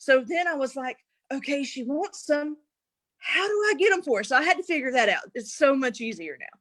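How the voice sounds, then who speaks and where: With an American accent, a woman speaks at a fairly quick pace in a high pitch. Her pitch swings very wide and her loudness rises and falls a lot. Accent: thick rural. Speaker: network marketer. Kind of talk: casual chat. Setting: livestream interview. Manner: animated.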